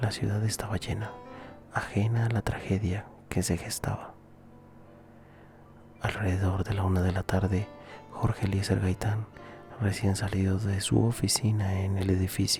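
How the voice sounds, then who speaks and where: The pace is moderate. Music can be heard in the background. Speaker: ASMR channel host reading a history story. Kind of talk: soft-spoken ASMR history narration. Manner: soft-spoken, whispered.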